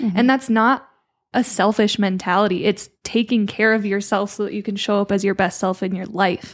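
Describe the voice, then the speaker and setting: Speaking at a fairly quick pace, a woman uses a medium pitch with fairly even intonation. She has an unremarkable speaking voice. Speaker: podcast co-host. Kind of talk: casual chat.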